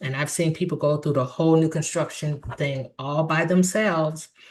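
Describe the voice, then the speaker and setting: A woman with a very deep, low pitch speaks at a moderate pace in a somewhat breathy, animated tone against a quiet background. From US Midwest, Chicago. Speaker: real estate agent. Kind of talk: tutorial.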